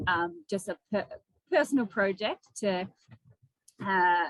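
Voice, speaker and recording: A woman's medium-pitched voice with an Australian accent, at a moderate pace. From Western Australia, small country town. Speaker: ultra runner and climber. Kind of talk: casual interview. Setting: video call.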